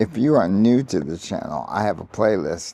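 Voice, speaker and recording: This is a man talking. His voice has vocal fry. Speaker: vlogger living with ALS. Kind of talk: personal vlog. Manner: halting with fillers.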